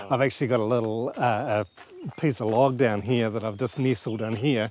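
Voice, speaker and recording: With a New Zealand accent, a man at a medium pitch talks at a fairly quick pace with fairly even intonation over noticeable background noise. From New Zealand, Auckland. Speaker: homestead and guesthouse owner, gardener. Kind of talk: farm tour conversation.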